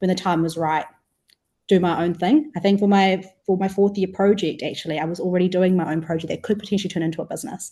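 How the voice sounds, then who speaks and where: A woman's somewhat breathy, dark, mellow voice at a medium pitch, very fast pace and ordinary pitch variation. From New Zealand, Wellington. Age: 20s. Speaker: food startup co-founder. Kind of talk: podcast interview.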